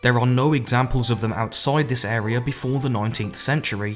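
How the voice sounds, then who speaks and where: Music plays in the background as a man talks at a fairly quick pace. His pitch is medium, with ordinary variation. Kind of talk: history explainer narration.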